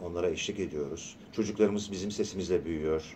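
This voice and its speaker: A man speaks at a moderate pace in a very deep, low voice with a dark, mellow tone. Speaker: voice actor. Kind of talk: radio interview. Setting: radio studio. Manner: animated.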